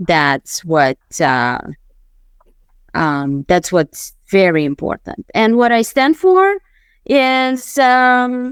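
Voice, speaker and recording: A woman with a Romanian accent speaks very slowly at a fairly high pitch, her pitch swinging very widely. Long, frequent pauses break up the dry, close sound, which has no echo. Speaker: mindset coach and former attorney. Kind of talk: interview.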